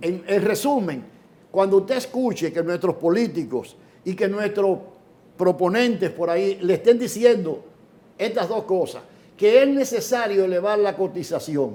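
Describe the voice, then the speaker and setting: A man with a high pitch and a dark, mellow tone speaks at a fairly slow pace with ordinary pitch variation. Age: 70s. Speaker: economist. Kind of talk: interview.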